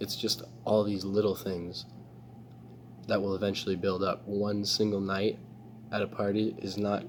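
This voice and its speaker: A man speaks quietly at a moderate pace in a fairly low, monotone voice with flat intonation. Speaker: self-improvement vlogger. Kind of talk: casual vlog monologue. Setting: public space. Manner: hesitant, filler-heavy.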